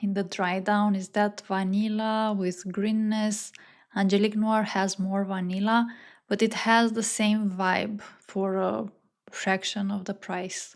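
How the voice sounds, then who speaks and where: The speaker has a non-native accent and a monotone, flat intonation at a fairly slow pace. The recording is very clean with a silent background. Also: woman, medium pitch for a woman. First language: not English. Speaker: fragrance reviewer. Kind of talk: fragrance review monologue. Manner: slow, dreamy and evocative.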